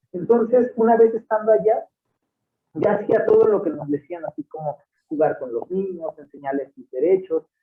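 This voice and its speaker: In a Veracruz accent, a man with a high pitch speaks at a moderate pace, with very wide pitch swings and big swings in loudness. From Mexico, Puebla state, Totonac village. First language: Totonac (speaking Spanish). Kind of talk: interview. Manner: hesitant, many repetitions and fillers.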